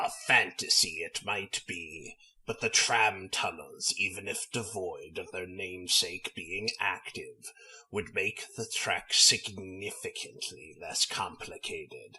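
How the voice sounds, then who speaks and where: Putting on a character voice, a man talks. He takes a fairly slow pace. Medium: audio drama. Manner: formal, measured.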